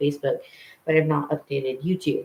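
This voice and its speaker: A man's fairly high voice comes across somewhat breathy. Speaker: vlogger. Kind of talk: casual vlog chat.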